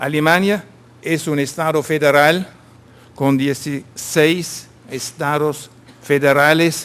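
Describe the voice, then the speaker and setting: Speaking very slowly with a German accent, a man uses a fairly high pitch. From Germany. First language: German (speaking Spanish). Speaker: vocational training consultant. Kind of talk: conference presentation. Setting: conference stage with audience.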